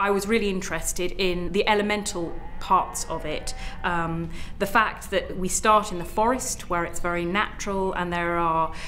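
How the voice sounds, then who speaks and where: A woman speaks at a moderate pace with fairly even intonation. Noticeable background noise sits behind her. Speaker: puppet theatre maker. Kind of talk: interview answer.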